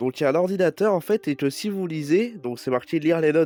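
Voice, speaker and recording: Music plays behind the speaker. A man talks with lively intonation. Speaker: gaming YouTuber. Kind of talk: game update presentation. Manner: hesitant, many fillers.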